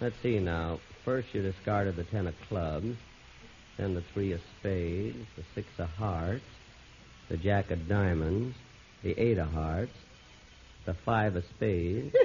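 A man with a very deep, low pitch speaks at a fairly slow pace, somewhat breathy. Long, frequent pauses and ordinary pitch variation mark his speech over light background noise. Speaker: radio comedy lead. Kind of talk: scripted radio comedy dialogue. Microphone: old recording.

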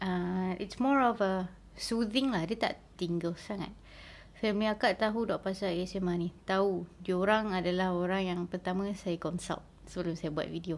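Her speech unfolds fairly slowly. The woman's intonation is fairly even. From Malaysia, Kelantan; Malaysia. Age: 30s. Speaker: ASMR YouTuber. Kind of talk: casual Q&A vlog.

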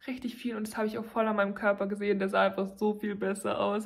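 The background is quiet. A woman speaks with monotone, flat intonation. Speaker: vlogger. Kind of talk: casual vlog chat. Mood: cheerful, chatty. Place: home room. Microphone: phone near.

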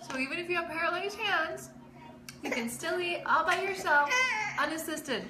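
A woman projects her raised voice at a fairly quick pace. Noticeable background noise sits behind her. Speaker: vlogger. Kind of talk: casual vlog chat. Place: kitchen. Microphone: phone near.

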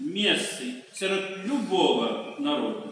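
There is strong room echo and light background noise. A man speaks with a high pitch. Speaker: archimandrite, clergyman reading a bishop's message. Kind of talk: religious message read aloud. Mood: solemn, calm, festive. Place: church.

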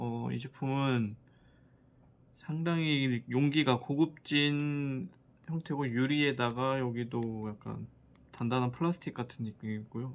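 A man's medium-pitched voice at a very slow pace, with long, frequent pauses and fairly even intonation. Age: 30s. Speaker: skincare product reviewer. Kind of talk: casual product review.

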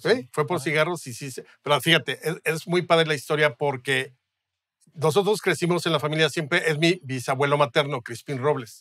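A man's bright, sharp voice at a fairly quick pace, with ordinary pitch variation, in dry sound with no echo and a quiet background. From Mexico. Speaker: historian and writer; guest. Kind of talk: casual interview. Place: studio. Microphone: studio mic.

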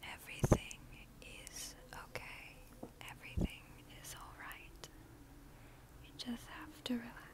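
A woman speaks at a fairly slow pace, with long, frequent pauses. Loud background noise fills the dry recording, which has no echo. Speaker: ASMR creator. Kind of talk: ASMR whisper video. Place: home room. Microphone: earbuds.

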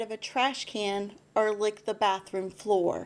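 A woman speaks very slowly in a fairly high voice. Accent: American. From Texas. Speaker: school board candidate, nurse, mother; candidate. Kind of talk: interview. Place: studio. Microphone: studio mic.

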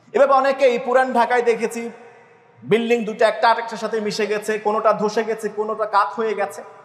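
Noticeable background noise sits under a man speaking in a high pitch with monotone, flat intonation. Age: 40s. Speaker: imam preacher. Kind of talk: Friday sermon.

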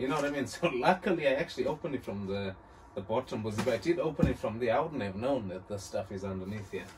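Through noticeable background noise, a man speaks with very wide pitch swings. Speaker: car parts vlogger. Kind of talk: casual vlog chat. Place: home room. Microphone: phone near.

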